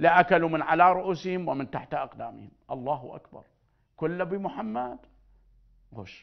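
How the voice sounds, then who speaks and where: In an Iraqi accent, a man speaks with a high pitch and an animated tone. His pace is fairly slow, and the background is quiet. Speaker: spiritual healer; TV presenter. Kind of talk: religious talk. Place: studio. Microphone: lapel.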